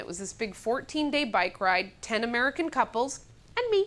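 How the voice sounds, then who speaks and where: A woman at a fairly quick pace, over noticeable background noise. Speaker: comedian and monologist. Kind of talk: comedic monologue, stage storytelling. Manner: animated, humorous, conversational.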